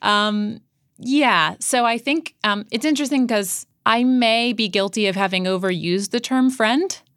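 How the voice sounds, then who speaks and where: A woman's fairly high voice, an ordinary speaking voice, with ordinary pitch variation, very even loudness and a moderate pace, on a very clean recording with a silent background. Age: 30s. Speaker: journalist and podcast host. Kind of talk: interview.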